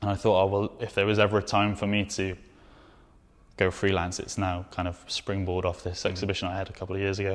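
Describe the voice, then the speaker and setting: A man with a Welsh accent speaks at a very fast pace. His voice is fairly low, in a monotone with flat intonation. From Wales. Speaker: documentary photographer. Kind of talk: interview answer.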